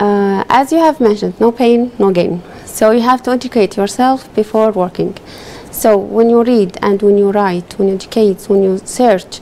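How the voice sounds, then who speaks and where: A woman with an Arabic accent speaks at a moderate pace and a fairly high pitch. Her loudness stays very even over noticeable background noise. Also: ordinary pitch variation. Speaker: legal translator. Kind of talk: TV interview.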